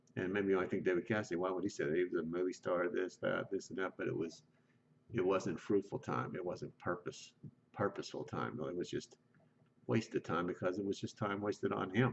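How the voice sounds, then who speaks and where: Fairly quick speech with vocal fry and ordinary pitch variation. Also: man, very deep, low pitch for a man. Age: 60s. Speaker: lay preacher. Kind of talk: informal sermon. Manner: conversational, with many fillers.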